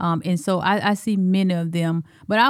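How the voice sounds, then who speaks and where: A woman with an Alabama accent and fairly even intonation, in dry, close sound with no echo. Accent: Southern US, Alabama. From Alabama, US South. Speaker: school superintendent. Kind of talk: casual interview.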